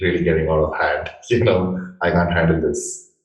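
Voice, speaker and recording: A man with an Indian accent talks at a moderate pace in a very deep, low voice with ordinary pitch variation, with audible room echo. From India, Bangalore. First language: Indian language (not English). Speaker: interviewer, marketing channel host. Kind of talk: interview. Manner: uses fillers like uh.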